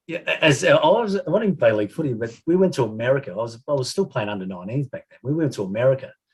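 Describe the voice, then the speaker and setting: A man with an Australian accent rattles along at a very fast pace with hardly any pauses, somewhat breathy, with very wide pitch swings and big swings in loudness. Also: medium pitch for a man. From Adelaide, South Australia. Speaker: retired footballer. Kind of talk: casual storytelling interview. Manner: halting, many fillers.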